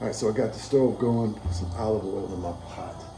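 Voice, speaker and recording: Music plays behind a man speaking with lively intonation. Room echo is audible. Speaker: home cook vlogger. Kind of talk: cooking tutorial. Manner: fast; casual, conversational.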